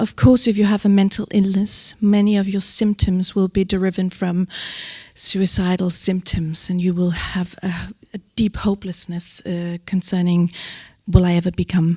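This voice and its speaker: On a very clean recording with a silent background and a dry, close sound with no echo, a woman speaks in a somewhat breathy voice of medium pitch. Her pace is moderate and her intonation fairly even. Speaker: psychologist at suicide prevention helpline. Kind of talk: panel talk.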